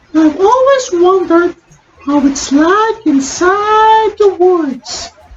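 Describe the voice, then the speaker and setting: In a cheerful, squeaky put-on character voice, a woman speaks at an extremely high pitch, with lively intonation and a very slow pace. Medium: read story. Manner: cheerful, curious.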